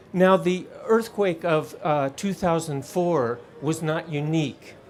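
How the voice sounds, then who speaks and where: A man's high-pitched voice at a very slow pace, with ordinary pitch variation and noticeable background noise. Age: 60s. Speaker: earthquake and tsunami scientist. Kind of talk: conference talk. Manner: halting.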